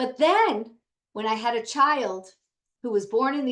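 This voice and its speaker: With lively intonation, a woman speaks at a fairly high pitch. She has an unremarkable speaking voice. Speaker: educator and founder of a tutoring center. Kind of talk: training webinar. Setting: video call.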